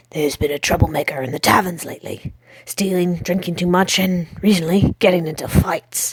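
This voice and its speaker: A woman puts on a growling character voice, fairly low in pitch. She speaks at a fairly quick pace with fairly even intonation. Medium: read story. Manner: growling, blunt.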